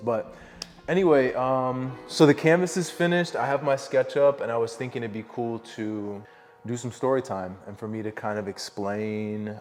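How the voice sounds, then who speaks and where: A man with an American accent, relaxed in tone, with lively intonation and music in the background. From upstate New York. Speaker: visual artist. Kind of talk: casual talk to camera. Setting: studio. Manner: relaxed, rambling.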